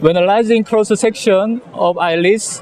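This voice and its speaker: A man with a Korean accent talks at a fairly slow pace with ordinary pitch variation as a crowd murmurs in the background. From South Korea. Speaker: eye surgeon. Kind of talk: lecture. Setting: conference booth with audience. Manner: halting.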